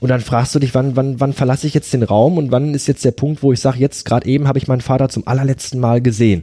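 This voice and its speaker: Speaking very fast with hardly any pauses, a man uses a medium pitch, a dark, mellow tone, fairly even intonation and very even loudness. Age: 30s. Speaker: podcast host. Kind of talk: casual conversation about grief. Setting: in person at the guest's home.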